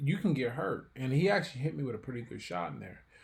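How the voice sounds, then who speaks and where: This somewhat breathy voice moves at a fairly quick pace with ordinary pitch variation. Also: man. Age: 40s. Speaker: professional boxer and author. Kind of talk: podcast interview.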